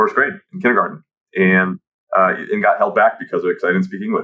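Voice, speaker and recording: This is a man speaking with a Midwestern American accent. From Kansas City, US Midwest (Ukrainian immigrant). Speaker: automotive tech founder and dealer. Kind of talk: podcast interview. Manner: hesitant, many fillers.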